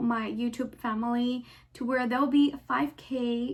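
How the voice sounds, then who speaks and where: An American accent in a woman's high voice. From Texas. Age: 20s. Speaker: beauty and fashion YouTuber. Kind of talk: casual talk to camera. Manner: upbeat.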